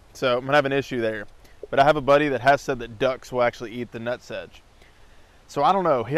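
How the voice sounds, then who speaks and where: A man's voice, dry, with no echo. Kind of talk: casual tutorial vlog. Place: garden. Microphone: lapel.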